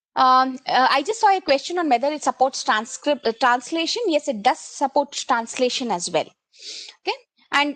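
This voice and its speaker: Speaking at a moderate pace with an Indian accent, a woman's high-pitched voice swings very widely in pitch, captured in a dry, close recording without echo. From India, Kannada-speaking (Karnataka). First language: Kannada. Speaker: solution architect, tech presenter. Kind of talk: technical webinar demo. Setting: online session with screen share, headset. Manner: hesitant, many fillers.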